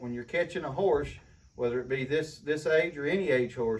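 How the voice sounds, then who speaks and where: At a fairly quick pace, a man speaks in a somewhat breathy voice with ordinary pitch variation. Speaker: horse trainer. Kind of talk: tutorial. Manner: soft-spoken.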